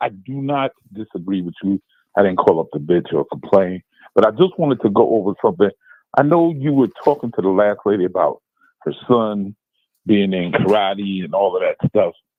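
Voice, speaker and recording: Speaking in a New York accent, a man talks at a fairly quick pace. His pitch sits fairly low. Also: lively intonation. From Brooklyn, New York. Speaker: caller. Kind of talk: phone-in question.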